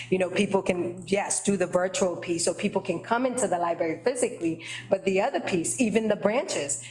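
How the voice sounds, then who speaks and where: With an American accent, a woman of medium pitch speaks at a moderate pace with ordinary pitch variation over noticeable background noise. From Boston, Dorchester (Haitian family). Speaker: library trustee, committee chair. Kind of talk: committee meeting discussion. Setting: meeting room with attendees in person. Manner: conversational, frequent fillers.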